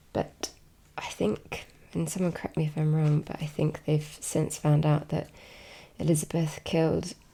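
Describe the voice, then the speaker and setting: A relaxed, soft-spoken voice talks at a fairly slow pace. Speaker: ASMR content creator. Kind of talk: soft-spoken ASMR talk to camera. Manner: soft-spoken, slow, relaxed.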